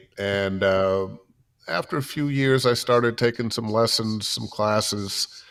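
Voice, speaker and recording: A man with an American accent and a normal speaking voice talks at a medium pitch and a moderate pace with ordinary pitch variation, in a very clean recording with a silent background. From Ohio, US Midwest (Cleveland). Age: 60s. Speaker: voiceover artist and former radio DJ. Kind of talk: interview.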